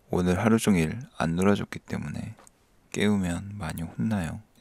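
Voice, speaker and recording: A man's very deep, low voice at a fairly slow pace. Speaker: coding tutorial youtuber. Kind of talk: tutorial. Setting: screen recording at home, child sleeping nearby. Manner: sleepy, low-key; soft-spoken.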